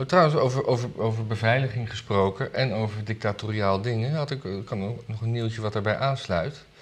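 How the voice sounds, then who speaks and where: The voice is somewhat breathy, moving at a fairly quick pace with ordinary pitch variation. The background is quiet. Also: man, medium pitch for a man. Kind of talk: casual chat about weekly news.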